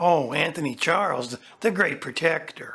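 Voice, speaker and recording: This is a put-on character voice, raspy and at a middle pitch. It moves at a moderate pace. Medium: audio drama. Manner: pushy, demanding.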